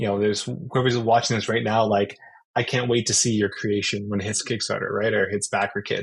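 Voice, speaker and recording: With an American accent, a man is talking. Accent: sounds American. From Canada. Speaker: board game manufacturing project manager. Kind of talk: interview with slide presentation. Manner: many fillers and restarts.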